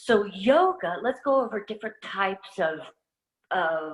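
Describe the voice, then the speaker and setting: In a normal speaking voice, a woman talks at a medium pitch. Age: 60s. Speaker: fitness instructor. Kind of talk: presentation.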